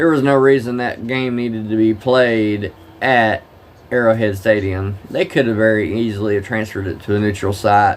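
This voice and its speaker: A man speaks in a strong Southern US accent. His pitch is medium, with ordinary variation. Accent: thick Southern drawl. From Oklahoma. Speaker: live-streamer, former truck driver. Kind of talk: casual live-stream chat with game commentary. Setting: live stream at home.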